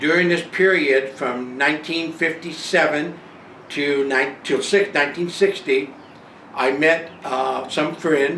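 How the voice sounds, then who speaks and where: A man with an American accent speaks at a very slow pace and a fairly high pitch, with ordinary pitch variation, audible room echo and noticeable background noise. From northern California (Bay Area). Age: 70s. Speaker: retiree telling his life story. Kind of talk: personal memoir monologue. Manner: halting, many fillers.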